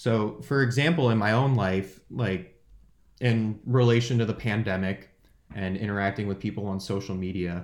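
This is a man speaking with a Californian accent. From California, San Jose. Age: 20s. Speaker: student podcast co-host. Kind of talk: casual chat.

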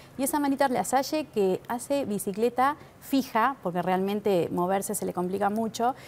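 Lively intonation from a woman keeping a moderate pace. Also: fairly high pitch for a woman. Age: 50s. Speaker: weight-loss patient. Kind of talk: testimony.

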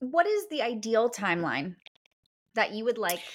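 In a normal speaking voice, a woman talks at a moderate pace and fairly high pitch with lively intonation. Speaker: podcast host and wedding planner. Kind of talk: casual interview chat.

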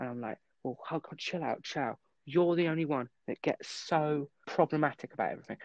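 In a plain, everyday voice, a man speaks at a fairly quick pace and a fairly high pitch with ordinary pitch variation, the sound dry and close with no echo against a quiet background. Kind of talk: casual chat.

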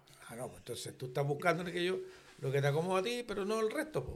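A man talks with lively intonation and a somewhat breathy voice. The room echo is audible. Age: 70s. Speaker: retired airline pilot and flight instructor. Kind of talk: casual chat. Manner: halting.

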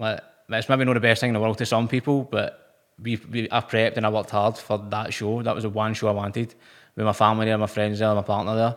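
A man talks at a very fast pace in a Lanarkshire accent. His pitch is medium and his intonation monotone and flat. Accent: Scottish (Lanarkshire). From Scotland, Motherwell. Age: 20s. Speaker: personal trainer and bodybuilder. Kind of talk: casual interview.

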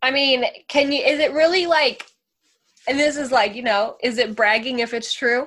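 A woman with a high-pitched voice and a bright, sharp, animated tone talks at a moderate pace with ordinary pitch variation. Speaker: podcast host. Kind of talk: casual chat.

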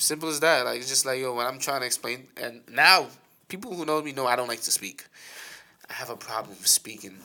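Loud and with a bright, sharp tone, a man speaks fairly quickly at medium pitch with ordinary pitch variation. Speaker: co-host. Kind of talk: casual chat.

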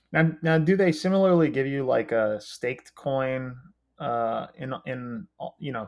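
Here a man has an unremarkable speaking voice. His pitch is medium and his pace moderate. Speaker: crypto podcast co-host. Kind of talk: casual chat.

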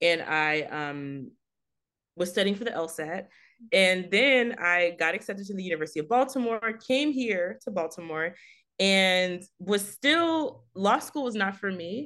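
A woman with an American accent, a bright, sharp tone and lively intonation. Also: medium pitch for a woman, moderate pace. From Texas, Fort Worth. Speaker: art writer and editor. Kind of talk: interview.

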